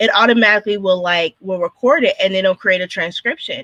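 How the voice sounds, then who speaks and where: A woman's medium-pitched voice comes through with a bright, sharp tone and a dry, close sound lacking any echo. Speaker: podcast host. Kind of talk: podcast interview. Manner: fast.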